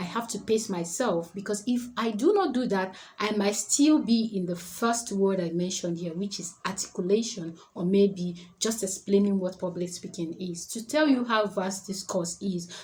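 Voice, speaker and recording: Noticeable background noise sits behind a woman who speaks with hardly any pauses. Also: medium pitch for a woman, ordinary pitch variation. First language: not English. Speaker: public speaking coach. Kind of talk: tutorial. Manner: fast.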